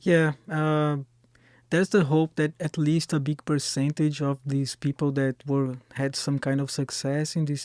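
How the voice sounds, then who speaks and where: The voice has a Brazilian Portuguese accent and a dark, mellow tone, with fairly even intonation at a fairly slow pace. The sound is dry and close with no echo, on a very clean recording with a silent background. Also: man. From Brazil, Florianópolis. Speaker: singer-songwriter and street performer. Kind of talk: casual chat. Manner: halting.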